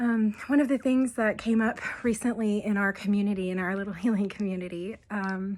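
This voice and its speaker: A woman at medium pitch, fairly quick in pace and fairly even in intonation, on a very clean recording with a silent background. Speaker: abuse recovery helper. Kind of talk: casual talk to camera.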